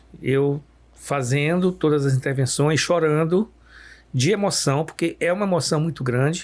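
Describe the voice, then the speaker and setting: In a very clean recording with a silent background, a man with a normal speaking voice talks at a fairly high pitch and a moderate pace, with ordinary pitch variation and very even loudness. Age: 60s. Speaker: pediatrician. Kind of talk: podcast conversation.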